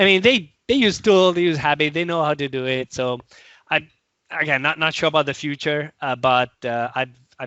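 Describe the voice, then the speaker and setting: A man with an Italian accent talks at a moderate pace with ordinary pitch variation. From Italy. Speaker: software product manager and tech author. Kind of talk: casual interview chat. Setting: video call. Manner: halting, many repetitions.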